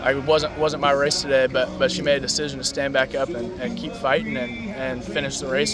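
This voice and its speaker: A man's fairly high voice at a fairly quick pace, with audible room echo and noticeable background noise. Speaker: college baseball player. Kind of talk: post-game interview. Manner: frequent stuttering repetitions.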